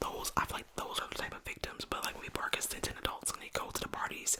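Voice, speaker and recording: Over noticeable background noise, a woman whispers at a very fast pace. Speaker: podcast host, half of a couple. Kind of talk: casual podcast conversation with her partner.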